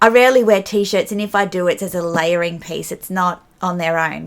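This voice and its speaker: At a moderate pace, a woman with an Australian accent speaks at a medium pitch. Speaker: fashion vlogger. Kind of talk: casual talk to camera about fashion.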